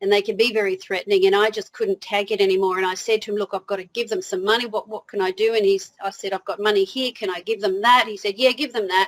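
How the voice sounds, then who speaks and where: Recorded dry and close with no echo, a woman with an Australian accent speaks at a very fast pace in a monotone, flat intonation, with hardly any pauses. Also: medium pitch for a woman. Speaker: motivational speaker. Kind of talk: interview.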